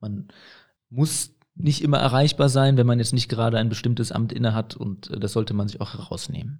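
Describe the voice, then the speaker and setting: His tone is dark and mellow. The man speaks at medium pitch with ordinary pitch variation. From Aachen, western Germany. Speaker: mayor. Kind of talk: interview.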